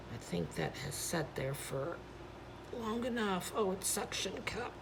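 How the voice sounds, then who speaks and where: A woman speaks quietly at a medium pitch and a fairly slow pace, her pitch swinging very widely. Audible room echo and noticeable background noise surround her. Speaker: paint pouring artist, channel host. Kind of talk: tutorial. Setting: home studio at night. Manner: casual, chatty.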